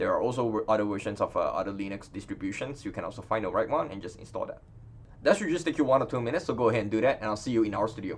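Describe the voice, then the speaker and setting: A man with a non-native accent at a medium pitch, with lively intonation and a very fast pace. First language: not English. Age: 30s. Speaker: data science educator. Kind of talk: tutorial. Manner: casual, many fillers.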